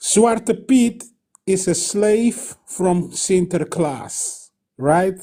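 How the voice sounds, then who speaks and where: A man with a Surinamese accent speaks at a very slow pace, pitched high. His tone is dark and mellow, with ordinary pitch variation. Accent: Surinamese Dutch accent in English. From Suriname (Dutch Guiana). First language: Dutch. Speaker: caller. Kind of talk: call-in comment. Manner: halting.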